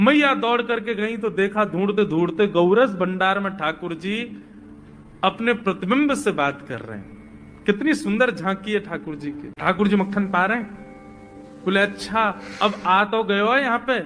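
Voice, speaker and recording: Over music in the background, a man talks in a high pitch with ordinary pitch variation. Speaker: kathavachak (religious storyteller). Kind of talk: devotional story narration.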